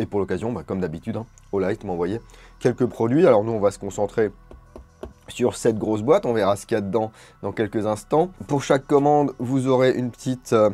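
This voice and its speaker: A man speaks at a fairly quick pace with a medium pitch and ordinary pitch variation. Music plays in the background. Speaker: airsoft and gear reviewer. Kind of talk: product review. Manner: casual, with fillers.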